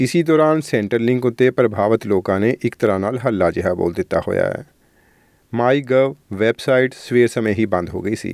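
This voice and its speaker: A man's normal speaking voice, medium in pitch with ordinary pitch variation, dry and close with no echo. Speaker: radio news presenter. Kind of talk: formal news reading. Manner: formal, measured, steady newsreader delivery.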